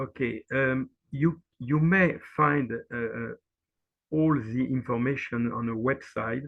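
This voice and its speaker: At a very slow pace, a man of medium pitch speaks in a French accent with fairly even intonation. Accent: typical French. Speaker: NGO representative. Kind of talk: webinar presentation. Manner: halting, many fillers.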